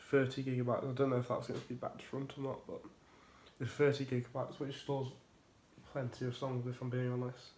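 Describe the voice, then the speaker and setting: A man speaks very fast in a somewhat breathy voice with monotone, flat intonation. Long pauses come often. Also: medium pitch for a man. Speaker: tech YouTuber. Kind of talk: casual review vlog.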